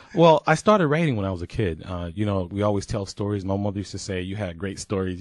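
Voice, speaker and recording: A fairly low-pitched man with an American accent at a very fast pace, against a quiet background. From Augusta, Georgia (US South). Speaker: author. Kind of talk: radio interview.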